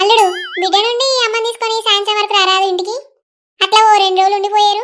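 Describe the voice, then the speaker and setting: Putting on a squeaky character voice, a woman speaks at a fairly quick pace and an extremely high pitch with monotone, flat intonation. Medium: comedy sketch. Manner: warm, homely, chatty.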